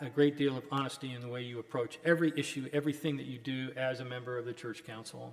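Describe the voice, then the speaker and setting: A man with a fairly high pitch talks at a very fast pace, hardly pausing, with fairly even intonation. His loudness swings widely over noticeable background noise. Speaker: lawyer, keynote speaker. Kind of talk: lecture.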